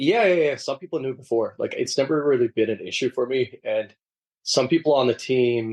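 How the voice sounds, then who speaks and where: A man with an American accent speaks in a normal speaking voice at a medium pitch, with ordinary pitch variation. His fairly quick delivery has a dry, close sound with no echo. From Sweden (Gothenburg) and Liverpool, England. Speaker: professional footballer. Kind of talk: interview.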